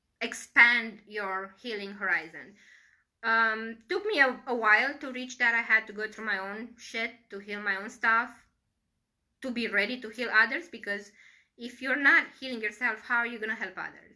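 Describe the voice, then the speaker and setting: With a Romanian accent, a woman speaks at a moderate pace in a fairly high, bright, sharp voice with ordinary pitch variation and big swings in loudness, on a very clean recording with a silent background. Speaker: Reiki practitioner and teacher. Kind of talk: Q&A livestream talk. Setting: live video stream. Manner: conversational, with frequent fillers.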